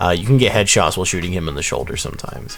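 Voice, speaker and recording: A man's speech is accompanied by noticeable background noise and audible room echo. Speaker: gaming YouTuber. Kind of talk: game character guide. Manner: casual with fillers.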